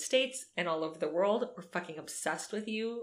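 A woman speaks in an ordinary speaking voice. Her pace is fairly quick, with ordinary pitch variation. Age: 30s. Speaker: podcast co-host. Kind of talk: reading aloud; casual chat. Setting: in person at co-host's home.

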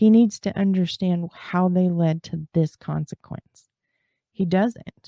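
At a very slow pace, a woman with an American accent speaks at medium pitch in a dark, mellow tone, with a dry, close sound and no echo. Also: fairly even intonation. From Texas. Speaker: true crime podcast host. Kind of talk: scripted narration.

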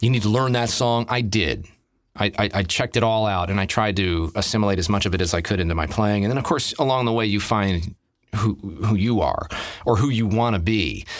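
Here is a normal speaking voice with very even loudness and ordinary pitch variation at a fairly quick pace. The recording is very clean with a silent background. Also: man, fairly low pitch for a man. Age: 50s. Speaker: drummer and voice actor. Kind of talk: casual chat.

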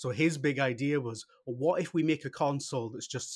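Here is a man with a British accent. He talks at a fairly quick pace. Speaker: podcast host. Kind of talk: casual chat.

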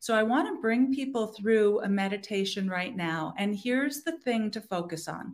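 A woman with a normal speaking voice, fairly high-pitched and lively in intonation, recorded very cleanly against a silent background. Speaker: meditation coach. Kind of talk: guided meditation. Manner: slow, calm, soothing; gentle, measured pacing with pauses.

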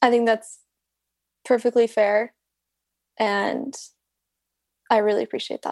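At a fairly slow pace and with long, frequent pauses, a woman speaks in a fairly high, monotone voice with flat intonation. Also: dry, close sound with no echo. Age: 20s. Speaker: podcast guest seeking couples money coaching. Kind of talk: couples coaching conversation.

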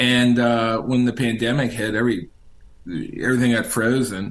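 A medium-pitched man with an American accent at a moderate pace. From Richmond, Virginia. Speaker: author and historian. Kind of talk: interview. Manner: hesitant, many fillers.

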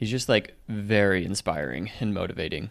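A man's fairly low voice with vocal fry and ordinary pitch variation. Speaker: podcast host. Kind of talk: casual chat. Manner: faster talker.

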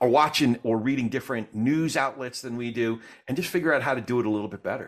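Talking at a very fast pace, a man with an American accent uses a medium pitch and ordinary pitch variation. The recording is very clean, with a silent background. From New Jersey. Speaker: podcast host. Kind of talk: interview conversation, casual.

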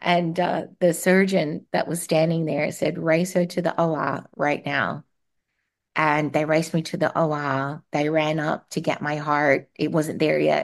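Against a quiet background, a woman speaks fairly slowly with a very deep, low pitch and monotone, flat intonation. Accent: Australian. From Australia (Darwin). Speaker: marketing executive and transplant survivor. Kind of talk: interview testimony. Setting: remote call.

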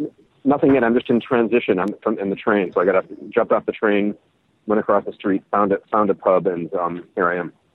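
A fairly low-pitched man with a Chicago accent, talking at a very fast pace. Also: ordinary pitch variation. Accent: Chicago-like American. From US Midwest (Madison, Wisconsin). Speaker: interview guest. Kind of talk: casual chat. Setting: in a pub. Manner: halting.

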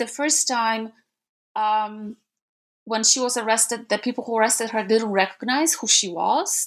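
With a Polish accent, a woman speaks at a moderate pace in a fairly high pitch. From Gdańsk, Poland. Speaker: historian, author. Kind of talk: interview, academic discussion.

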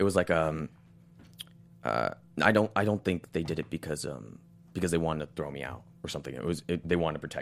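Very deep and low-pitched, a man's voice with vocal fry and ordinary pitch variation races at a very fast pace, broken by long, frequent pauses. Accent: American. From Los Angeles. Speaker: actor on a soap opera. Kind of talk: casual interview.

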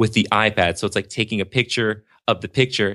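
An East Coast US accent in a dry, close sound with no echo, on a very clean recording with a silent background. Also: man. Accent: East Coast pronunciation of water. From New Jersey, near the Jersey Shore. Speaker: speech pathologist and app developer. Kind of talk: casual interview chat. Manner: animated.

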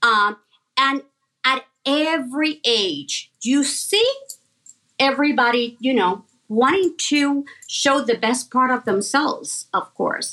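Raising and projecting her voice, a woman with a high pitch and a bright, sharp tone speaks at a very slow pace with lively intonation. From Puerto Rico. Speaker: fashion designer. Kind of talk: interview. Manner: hesitant, with many fillers.

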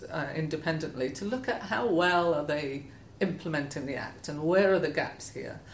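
Pitch varies in an ordinary way at a moderate pace. Echo from the room is audible. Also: woman. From Scotland. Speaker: head of environmental charity. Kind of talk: interview conversation.

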